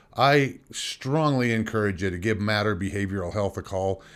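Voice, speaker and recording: Here is a man with an ordinary speaking voice and a fairly low pitch that shows ordinary variation. The recording is very clean, with a silent background. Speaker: podcast host. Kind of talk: sponsor ad read.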